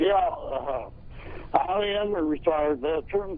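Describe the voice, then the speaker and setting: A man's high-pitched voice, lively in intonation, comes through noticeable background noise. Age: 60s. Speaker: retired veteran, caller. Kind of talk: call-in comment.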